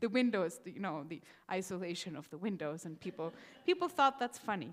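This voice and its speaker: A woman with a non-native accent, lively intonation and a fairly quick pace. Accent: non-native English accent, mistaken for Irish. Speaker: rabbi. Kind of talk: sermon. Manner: conversational, some hesitations.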